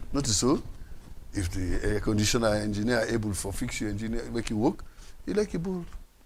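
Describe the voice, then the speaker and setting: A man with a Sierra Leonean accent speaks at a fairly quick pace, with audible room echo. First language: Krio. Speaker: political commentator. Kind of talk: panel discussion. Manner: animated.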